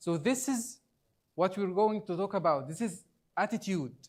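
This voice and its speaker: A man with an Arabic accent speaks at a very slow pace, his pitch high with ordinary variation. The recording is very clean, with a silent background. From Egypt. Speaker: trainer. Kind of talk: training workshop presentation. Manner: halting.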